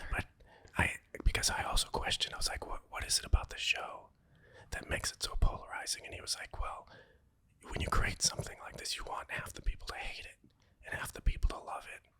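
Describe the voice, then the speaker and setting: A man whispers at a fairly quick pace. Noticeable background noise is present. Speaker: artist, voice actor. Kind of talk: interview answer. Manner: whispered.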